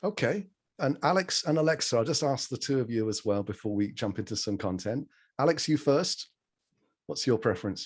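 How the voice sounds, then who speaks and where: A man with a medium pitch, very wide pitch swings and a fairly quick pace, against a quiet background. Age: 30s. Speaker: public speaking trainer. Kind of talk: online workshop.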